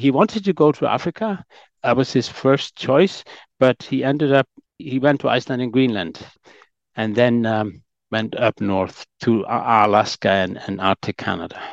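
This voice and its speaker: Dry and close with no echo, an ordinary speaking voice moves at a moderate pace with lively intonation. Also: man, medium pitch for a man. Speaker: historian. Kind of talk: interview.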